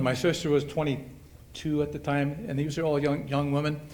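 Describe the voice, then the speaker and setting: Audible room echo surrounds this speaker. He is a man talking at a moderate speed. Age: 70s. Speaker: hall of fame inductee, retired softball player. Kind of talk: acceptance speech. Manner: halting.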